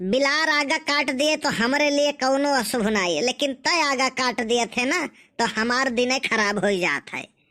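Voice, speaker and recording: A woman's high, cartoonish character voice at a moderate pace with ordinary pitch variation and hardly any pauses, on a very clean recording with a silent background. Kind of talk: rustic Awadhi comic dialogue.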